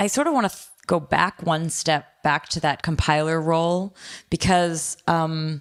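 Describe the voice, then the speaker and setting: In a very clean recording with a silent background, a woman speaks with a very deep, low pitch. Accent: North American. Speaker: podcast host. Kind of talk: technical podcast interview.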